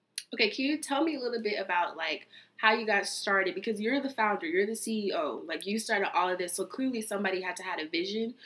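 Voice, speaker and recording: With an American accent, a woman at a medium pitch speaks very fast with lively intonation over noticeable background noise. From South Central Los Angeles. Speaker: podcast host. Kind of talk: casual interview; scripted show outro.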